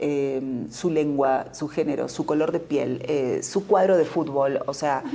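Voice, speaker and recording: With an Argentine Rioplatense accent, a woman speaks at a fairly slow pace. Her pitch is very deep and low. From Argentina, Buenos Aires. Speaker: novelist and journalist. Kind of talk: interview.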